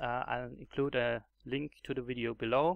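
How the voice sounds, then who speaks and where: A German accent at a moderate pace over a quiet background. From Germany. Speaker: gaming YouTuber. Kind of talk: tutorial. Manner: halting, many fillers and repetitions.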